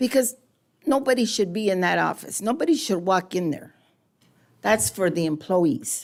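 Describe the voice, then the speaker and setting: On a very clean recording with a silent background, a woman with an American accent speaks at a moderate pace and medium pitch, with vocal fry, lively intonation, and long, frequent pauses. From Southern California. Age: 70s. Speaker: public commenter at city council. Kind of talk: public comment. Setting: council chamber.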